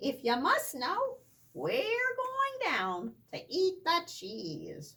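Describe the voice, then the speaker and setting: A put-on character voice, extremely high in pitch, drawls out its words at a very slow pace. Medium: read story.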